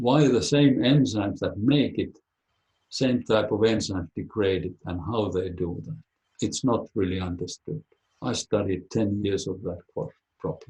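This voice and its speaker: In a Finnish accent, a man speaks at a moderate pace with a dark, mellow, somewhat breathy tone and ordinary pitch variation, the sound dry and close with no echo. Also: fairly low pitch for a man. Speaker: biologist. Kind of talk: webinar talk and Q&A.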